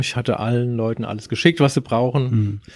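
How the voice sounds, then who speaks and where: Recorded very cleanly against a silent background, a man speaks at a medium pitch with ordinary pitch variation. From Germany. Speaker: surf band musician and guitar teacher. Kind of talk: casual interview. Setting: studio.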